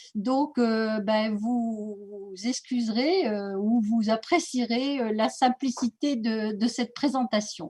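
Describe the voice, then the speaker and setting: A somewhat breathy woman's voice, fairly high in pitch, with a dark, mellow tone, ordinary pitch variation and a very slow pace. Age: 60s. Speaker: naturopathy school director. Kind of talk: presentation. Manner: hesitant, many fillers.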